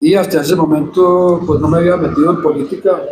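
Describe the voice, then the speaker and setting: A man talks fairly quickly at a high pitch. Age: 70s. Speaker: photographer. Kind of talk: panel discussion.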